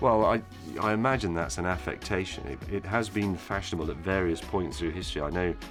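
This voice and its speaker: Over music in the background, a man with a very deep, low pitch speaks at a fairly quick pace with lively intonation. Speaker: TV presenter. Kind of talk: casual talk to camera, interview answer.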